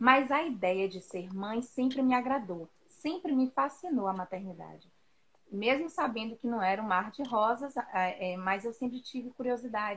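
Lively intonation and a fairly high pitch mark this woman's delivery, given in an unremarkable speaking voice. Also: moderate pace. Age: 30s. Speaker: teacher and mother. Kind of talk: casual chat. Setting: Instagram live stream.

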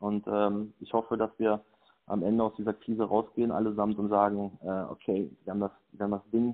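Using an ordinary speaking voice, a man talks at a moderate pace and a fairly low pitch with ordinary pitch variation. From Germany, Sauerland (Lüdenscheid). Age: 30s. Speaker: agency owner and volunteer. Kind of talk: interview. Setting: phone call.

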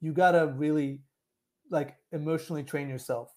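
Speaking in a plain, everyday voice, a man talks at a moderate pace with a fairly high pitch and fairly even intonation. The recording is very clean, with a silent background. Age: 30s. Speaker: dating coach and writer. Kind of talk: casual interview.

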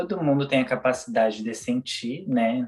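At a moderate pace, a man speaks in a normal speaking voice at medium pitch with ordinary pitch variation. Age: 20s. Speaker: holistic therapist. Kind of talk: casual chat.

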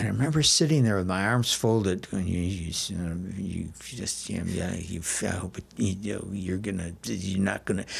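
This man's voice sits very deep and low, with ordinary pitch variation and a somewhat breathy quality. He talks at a moderate pace with hardly any pauses. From Milwaukee, Wisconsin, US Midwest. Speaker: comedy theater founder. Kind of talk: casual interview.

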